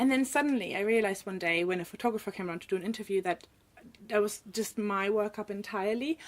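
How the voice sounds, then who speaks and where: In a German accent, a woman talks at a very fast pace. Her medium pitch shows ordinary variation. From Germany. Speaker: illustrator. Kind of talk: casual interview chat.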